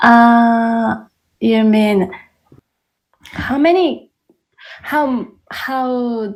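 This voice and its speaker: A woman with a fairly high pitch talks at a very slow pace. Her delivery has ordinary pitch variation and long, frequent pauses. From South Korea. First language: Korean. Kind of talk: podcast conversation.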